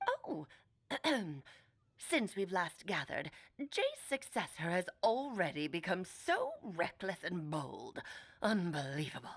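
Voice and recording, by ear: A woman uses a put-on character voice of medium pitch. She goes at a fairly slow pace with long, frequent pauses.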